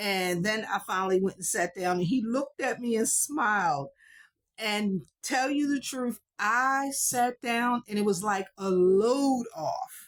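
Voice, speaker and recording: A woman's fairly high voice in a very clean recording with a silent background, with very even loudness, lively intonation and a fairly slow pace. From United States. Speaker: vlogger. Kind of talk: casual monologue.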